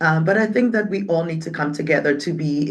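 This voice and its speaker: A woman with a Ghanaian accent speaks at a moderate pace in a very deep, low voice with ordinary pitch variation. Room echo is audible. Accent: Ghanaian English, British-leaning. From Ghana, raised in Accra (Ga-speaking city). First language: Twi/Ewe/Ga (multilingual Ghanaian). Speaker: community organization leader. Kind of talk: interview conversation.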